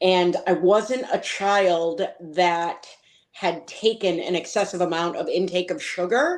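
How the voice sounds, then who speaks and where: A woman with an American accent talks at a very slow pace. Her pitch is medium, and it varies in an ordinary way. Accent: Boston accent, said to be strong but hidden. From Boston, Massachusetts. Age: 40s. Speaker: patient advocate. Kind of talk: interview.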